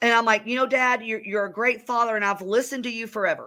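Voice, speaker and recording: The recording is very clean, with a silent background. A woman with a Southern accent speaks at a fairly high pitch in a bright, sharp tone, her intonation fairly even. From US South, north Georgia. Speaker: real estate business owner. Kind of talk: interview.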